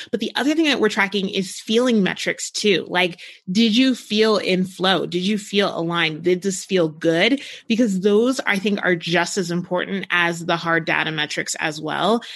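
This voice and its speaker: A woman with an American accent and an ordinary speaking voice talks at a medium pitch and moderate pace, with ordinary pitch variation. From New Jersey, US. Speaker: launch strategist, agency owner. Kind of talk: casual interview.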